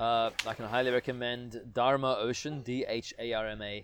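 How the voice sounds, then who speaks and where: A man speaks at a medium pitch with fairly even intonation. It is an ordinary speaking voice. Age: 30s. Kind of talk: interview.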